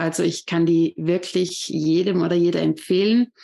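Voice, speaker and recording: A woman with an ordinary speaking voice talks at a fairly slow pace with fairly even intonation and a fairly low pitch. The recording is very clean, with a silent background. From Austria, Vorarlberg. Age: 30s. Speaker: yoga teacher. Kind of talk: interview.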